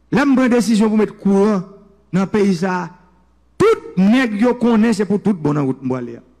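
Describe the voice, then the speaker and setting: Over noticeable background noise, a man with a high voice speaks at a moderate pace with lively intonation, very even loudness and long, frequent pauses. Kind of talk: political speech.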